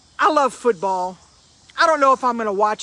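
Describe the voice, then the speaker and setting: The speaker has a Cajun accent. The pace is moderate. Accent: Cajun Louisiana English. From Louisiana. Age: 50s. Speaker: motivational speaker. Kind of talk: motivational live stream talk.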